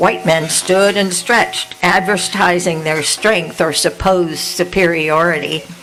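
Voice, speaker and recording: Over noticeable background noise, a woman with a fairly low voice talks at a fairly slow pace, with fairly even intonation and very even loudness. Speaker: poet. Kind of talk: casual remarks to audience; poetry reading.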